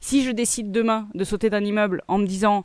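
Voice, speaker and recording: In an ordinary speaking voice, a woman talks at a fairly quick pace and medium pitch, recorded very cleanly with a silent background and a dry, close sound with no echo. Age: 30s. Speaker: podcast host. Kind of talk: solo self-help monologue.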